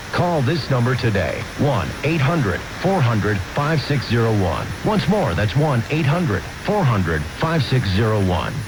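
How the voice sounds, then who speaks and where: Fairly slow and very even in loudness, the speech swings very widely in pitch over noticeable background noise. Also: man, medium pitch for a man. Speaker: commercial announcer. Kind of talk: radio commercial read. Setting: radio broadcast. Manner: urgent, salesy.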